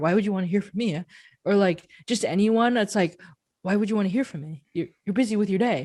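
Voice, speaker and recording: At a fairly quick pace, a woman speaks with ordinary pitch variation in a very clean recording with a silent background. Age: young. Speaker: art podcast co-host. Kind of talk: casual chat. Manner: loud.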